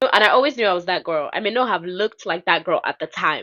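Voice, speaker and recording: Very fast speech from a woman with a Nigerian accent, bright and sharp in tone, ordinary pitch variation, over a quiet background. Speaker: podcast host. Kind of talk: casual chat.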